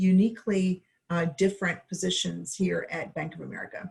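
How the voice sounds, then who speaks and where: Her somewhat breathy voice rests at a medium pitch. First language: not English. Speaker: bank executive. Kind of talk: panel discussion.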